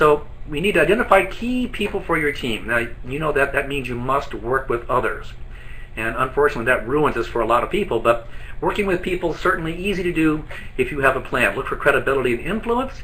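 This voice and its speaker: A man's fairly high voice at a very fast pace with lively intonation, amid noticeable background noise. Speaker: business trainer. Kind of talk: training presentation. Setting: office, live online broadcast.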